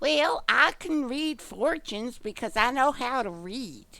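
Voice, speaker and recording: Putting on a character voice at a high pitch, a woman speaks at a fairly slow pace in a very clean recording with a silent background. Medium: game stream. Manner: quirky, eccentric.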